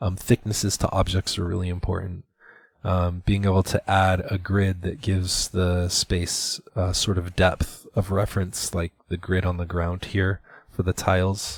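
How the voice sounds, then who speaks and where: A man's very deep, low, somewhat breathy voice, monotone and flat, at a fairly slow pace, dry and close with no echo on a very clean recording with a silent background. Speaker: art instructor. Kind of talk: tutorial. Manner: hesitant with fillers.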